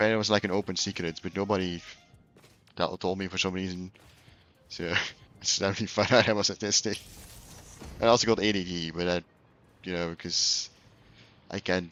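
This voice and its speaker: A man with a Flemish accent speaks in a very deep, low voice with monotone, flat intonation. His pace is fairly quick, yet he takes long, frequent pauses. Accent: Flemish Dutch accent in English. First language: Dutch. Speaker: video game streamer. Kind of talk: casual live-stream chat while gaming.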